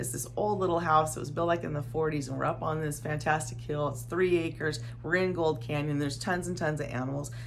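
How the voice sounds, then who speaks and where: A woman with an American accent and a very deep, low pitch races along at a very fast pace with hardly any pauses and ordinary pitch variation, in audible room echo. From Arizona desert, US Southwest. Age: 50s. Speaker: desert lifestyle vlogger. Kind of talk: unscripted personal testimony. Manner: halting, with repetitions.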